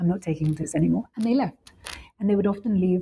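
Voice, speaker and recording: Somewhat breathy, a woman talks at a very fast pace and a medium pitch. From London, England. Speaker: professor. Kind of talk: interview. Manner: hesitant fillers.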